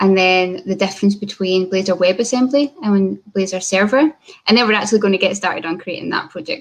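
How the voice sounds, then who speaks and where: A woman with a Scottish accent talks at a fairly quick pace, her medium pitch showing ordinary variation. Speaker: software developer. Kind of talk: conference talk.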